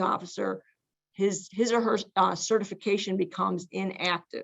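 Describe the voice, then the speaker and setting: A woman's medium pitch, moderate pace and fairly even intonation. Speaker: legal presenter on panel. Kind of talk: workshop presentation. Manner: halting, many fillers.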